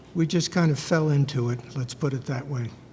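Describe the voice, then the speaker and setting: Soft-spoken and somewhat breathy, a man talks at a fairly high pitch in a very clean recording with a silent background. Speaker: birth father on adoption panel. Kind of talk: personal testimony on a panel. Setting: conference panel with audience.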